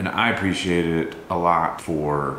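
Amid light background noise and audible room echo, a man with a very deep, low pitch speaks with fairly even intonation. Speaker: vlogger. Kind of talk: casual vlog chat. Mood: grieving, somber. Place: kitchen. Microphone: camera far.

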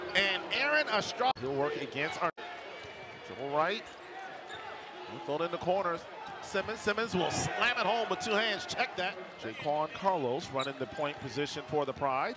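At a moderate pace but with long, frequent pauses, a man with a high voice speaks in very wide pitch swings over noticeable background noise. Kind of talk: live sports commentary. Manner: clipped, rhythmic calls that rise on made shots.

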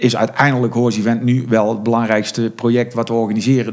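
This man talks fairly quickly. His voice sits at a medium pitch. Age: 40s. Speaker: horse event organizer. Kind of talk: interview. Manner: halting.

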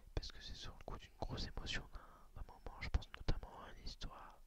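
Someone whispers at a fairly quick pace with hardly any pauses. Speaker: video blogger. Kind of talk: casual personal vlog chat. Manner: soft close-mic ASMR murmur. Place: home room. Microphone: studio mic.

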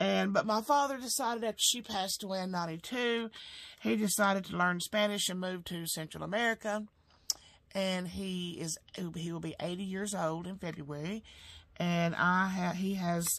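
With an Alabama accent, a woman talks at a moderate pace. Her pitch varies in an ordinary way. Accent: Southern US (Alabama). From US South. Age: 50s. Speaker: home sewing business owner and budgeting vlogger; budget vlogger. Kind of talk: casual vlog monologue; casual vlog chat. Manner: halting, many fillers. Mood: calm, reflective. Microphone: camera far.

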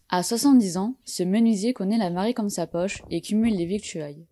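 On a very clean recording with a silent background, a woman with a dark, mellow tone speaks at a fairly quick pace and medium pitch with ordinary pitch variation, the sound dry and close with no echo. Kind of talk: TV news report voice-over.

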